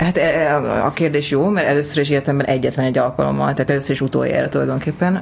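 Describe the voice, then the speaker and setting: A woman's very fast speech at very even loudness, over noticeable background noise. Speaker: stand-up comedian and screenwriter. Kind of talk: casual interview. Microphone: too far from the mic at first.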